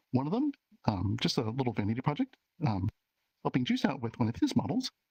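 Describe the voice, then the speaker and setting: Soft-spoken and very fast, a man's voice comes through with a dry, close sound and no echo. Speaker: VR avatar creator. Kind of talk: community meetup presentation. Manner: halting, many fillers.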